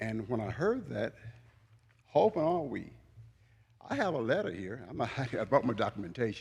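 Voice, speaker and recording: A man's medium-pitched, somewhat breathy voice at a fairly quick pace, with lively intonation, long and frequent pauses, and a very clean recording over a silent background. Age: 70s. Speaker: public commenter at city meeting. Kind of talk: public comment speech.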